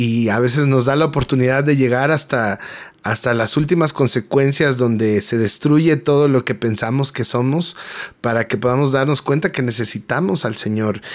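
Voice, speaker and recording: At a moderate pace and a medium pitch, a man speaks with ordinary pitch variation and very even loudness. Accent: Mexican. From Mexico City. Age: 30s. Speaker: graphic designer and worship singer-songwriter. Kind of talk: personal testimony interview. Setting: radio studio.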